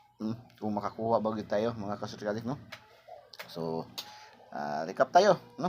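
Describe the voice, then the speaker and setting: Over noticeable background noise, a man talks fairly quickly. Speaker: lottery tips vlogger. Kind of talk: casual tutorial. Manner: repetitive filler-heavy.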